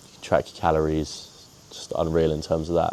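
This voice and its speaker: At a very fast pace, a man talks with a very deep, low pitch and a dark, mellow tone. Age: young, turning 19. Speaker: trader vlogger. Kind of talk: casual vlog monologue.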